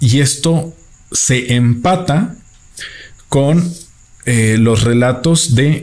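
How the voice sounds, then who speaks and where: A man speaks at a medium pitch with ordinary pitch variation and very even loudness. His voice is somewhat breathy, broken by long, frequent pauses. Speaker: film review podcaster. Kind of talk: solo film review monologue. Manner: halting, many fillers.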